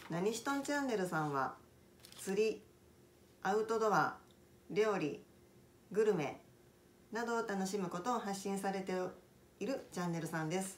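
A woman at a moderate pace with ordinary pitch variation and long, frequent pauses, over light background noise. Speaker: cooking channel host. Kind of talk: casual vlog intro. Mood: friendly, smiling. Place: home room. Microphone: phone near.

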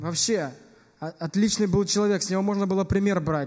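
This man talks with fairly even intonation. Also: quiet background. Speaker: speaker. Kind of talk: eulogy testimony. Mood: somber, heartfelt. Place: church. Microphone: podium.

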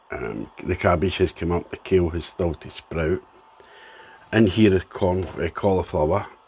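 Moderately paced speech in a Scottish accent, with ordinary pitch variation. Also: man, very deep, low pitch for a man. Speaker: home gardener vlogger. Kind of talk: casual video diary. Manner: halting, with ums.

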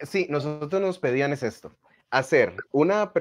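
A man speaks at a fairly high pitch with lively intonation. Light background noise sits underneath. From Costa Rica. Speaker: magician and radio announcer; radio announcer. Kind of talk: casual interview. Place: home room. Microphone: video call.

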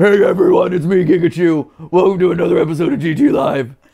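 In a put-on character voice, a man speaks fairly quickly, raspy and high-pitched. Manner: cute, cuddly.

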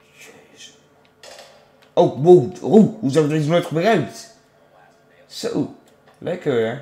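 Lively intonation at a very slow pace, with big swings in loudness and long, frequent pauses. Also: man, fairly high pitch for a man. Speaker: gaming YouTuber. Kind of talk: casual gameplay commentary. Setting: home recording, gameplay video. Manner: animated.

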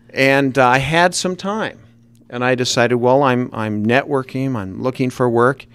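Moving at a moderate pace, a man with a Utah accent shows ordinary pitch variation in a dry recording with no echo. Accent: Utah American English. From Salt Lake City, Utah. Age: 50s. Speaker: author. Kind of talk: radio interview. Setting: radio studio. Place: studio. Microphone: studio mic.

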